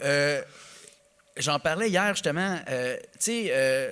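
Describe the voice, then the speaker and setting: Lively intonation and an animated tone come from a man with a Quebec accent. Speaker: comedian. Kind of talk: podcast interview. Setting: live stage with audience.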